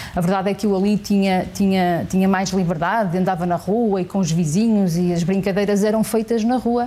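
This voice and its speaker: Here is a woman with an ordinary speaking voice, medium in pitch, talking at a fairly quick pace with hardly any pauses. Her loudness is very even, and her intonation fairly even. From northern Portugal, Santa Maria da Feira. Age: 40s. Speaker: politician. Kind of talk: interview. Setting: parliament committee room.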